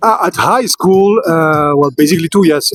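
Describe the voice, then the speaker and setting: Recorded with a dry, close sound and no echo, a man with a French accent speaks with ordinary pitch variation. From Belgium. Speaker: street interviewee. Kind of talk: street interview. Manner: halting.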